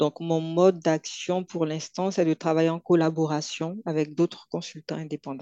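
Her voice is fairly low in pitch with a dark, mellow tone, and the woman talks at a moderate pace in a flat monotone, with hardly any pauses, in a dry, close sound with no echo. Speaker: consultant and entrepreneur. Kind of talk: interview.

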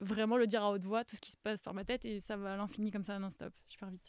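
A woman speaks with a fairly high pitch and a flat, monotone delivery. The sound is dry and close, with no echo. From France, Paris. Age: 30s. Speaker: former tennis player and sports presenter. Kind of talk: podcast interview. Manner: halting.

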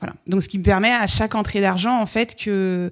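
This woman speaks at medium pitch and a moderate pace. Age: 40s. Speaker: wedding photographer. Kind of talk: casual chat. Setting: at the guest's home.

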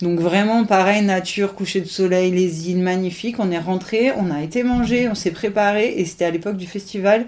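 At a moderate pace with hardly any pauses, a woman talks in a normal speaking voice, her pitch medium and her intonation fairly even. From French Riviera. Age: 30s. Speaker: triathlete. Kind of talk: interview.

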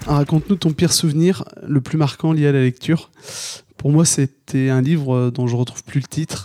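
Fairly even intonation from a man, delivered at a fairly slow pace. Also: dry, close sound with no echo. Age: 30s. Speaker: listener. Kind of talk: questionnaire answers. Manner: halting.

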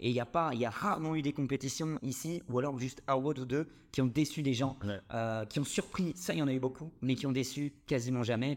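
This is an ordinary speaking voice from a man at medium pitch with ordinary pitch variation. He moves at a fairly quick pace on a very clean recording with a silent background. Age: 20s. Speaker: CrossFit gym co-owner. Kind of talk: casual interview.

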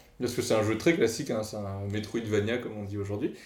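Audible room echo surrounds a man as he speaks. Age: 30s. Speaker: podcast co-host, game developer. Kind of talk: casual chat.

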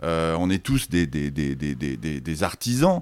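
On a very clean recording with a silent background, a man with a very deep, low pitch speaks at a fairly slow pace with ordinary pitch variation. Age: 60s. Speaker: sociologist and author. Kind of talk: interview. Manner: halting, many repetitions and hesitations.

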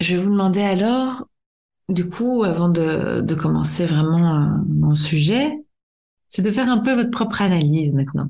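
A woman with a fairly low pitch speaks at a fairly slow pace with very even loudness. Her tone is dark and mellow, somewhat breathy, with lively intonation. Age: 30s. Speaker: psychologist and podcast host. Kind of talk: solo podcast lecture. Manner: hesitant, many fillers.

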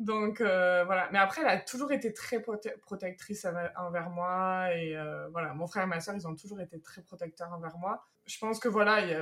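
Her pitch medium and its variation ordinary, a woman talks in a normal speaking voice. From France. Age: 30s. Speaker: expatriate interviewee. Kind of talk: interview.

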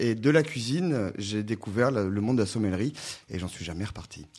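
A man with an ordinary speaking voice talks at a fairly quick pace, his medium-pitched delivery full of lively intonation. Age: 30s. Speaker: sommelier and author. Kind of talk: radio interview.

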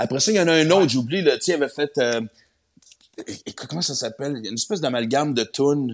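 Lively intonation carries this very fast delivery. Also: man, fairly high pitch for a man. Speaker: comedian and radio host. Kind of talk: casual chat.

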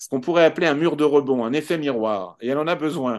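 Fairly quick and fairly high-pitched, a man talks with ordinary pitch variation in a plain, everyday voice. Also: quiet background. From France. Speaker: HR expert and sociologist. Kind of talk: podcast interview.

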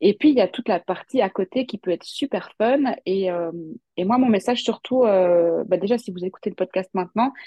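This woman has a plain, everyday voice at a medium pitch. Her pace is moderate. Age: 30s. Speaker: tarot content creator and former fashion designer. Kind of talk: interview.

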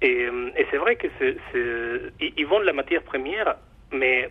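A man speaks with a Mexican accent. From Mexico. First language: Spanish (speaking French). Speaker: chocolate bar owner. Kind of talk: radio interview. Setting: phone call. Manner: halting.

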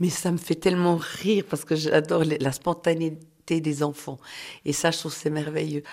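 This woman's voice is very deep and low. She speaks at a moderate pace in a flat monotone. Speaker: person living with multiple sclerosis. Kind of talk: testimony.

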